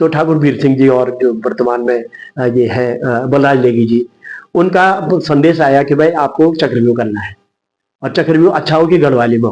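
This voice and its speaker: This man has an ordinary speaking voice at a medium pitch. He talks at a moderate pace with ordinary pitch variation. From Uttarakhand, Garhwal (Guptkashi, Mandakini valley). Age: 60s. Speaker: writer, theatre artist and retired teacher. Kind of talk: interview.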